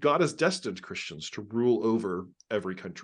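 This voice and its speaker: Over a quiet background, a man with a plain, everyday voice speaks with lively intonation. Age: 40s. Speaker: religion scholar. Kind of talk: interview.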